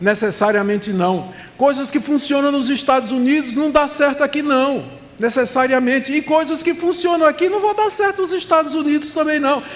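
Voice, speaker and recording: Delivered at a moderate pace, the voice moves through very wide pitch swings over noticeable background noise. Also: man. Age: 70s. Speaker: pastor. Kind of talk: sermon. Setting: conference stage with audience.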